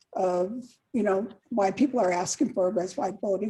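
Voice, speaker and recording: The woman's tone is dark and mellow, somewhat breathy. She speaks at a fairly quick pace with ordinary pitch variation. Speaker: council candidate. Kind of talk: candidate forum answer.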